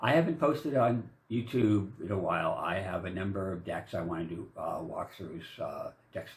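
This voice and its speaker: The pace is moderate as a man talks. Noticeable background noise sits behind him. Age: 60s. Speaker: vlogger. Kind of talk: casual monologue. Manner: halting, many fillers; rambling.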